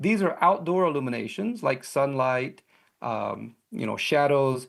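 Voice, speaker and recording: Lively intonation runs through this very clean recording with a silent background. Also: man. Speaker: researcher presenting at a conference. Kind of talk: conference talk.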